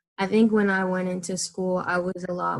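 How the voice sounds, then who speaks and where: At a moderate pace, a woman with an American accent talks at a medium pitch in an ordinary speaking voice. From Maryland, US. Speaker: architecture student. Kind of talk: interview.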